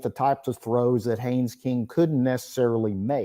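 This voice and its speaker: A man's medium-pitched voice with an East Texas accent, a dark, mellow tone, ordinary pitch variation and a moderate pace, in a very clean recording with a silent background. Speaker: college football reporter. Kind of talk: sports talk radio interview.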